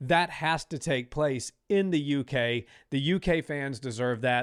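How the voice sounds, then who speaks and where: An animated man with an American accent talks at a fairly slow pace, at a fairly high pitch with ordinary pitch variation. The recording is very clean, with a silent background and a dry, close sound with no echo. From United States. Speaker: combat sports podcast host. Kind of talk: casual podcast chat.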